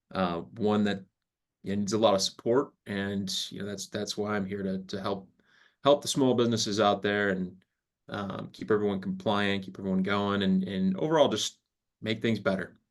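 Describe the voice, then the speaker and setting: A man speaks with an American accent and fairly even intonation. His pace is moderate. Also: fairly low pitch for a man. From Rochester, New York. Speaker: retirement plan specialist. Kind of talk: webinar presentation. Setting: video call.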